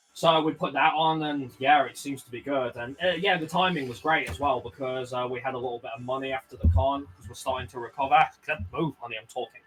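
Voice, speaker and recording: A man's medium-pitched voice at a very fast pace with hardly any pauses, ordinary pitch variation, big swings in loudness and noticeable background noise. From Birmingham, England (West Midlands). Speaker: streamer. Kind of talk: casual chat. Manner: halting.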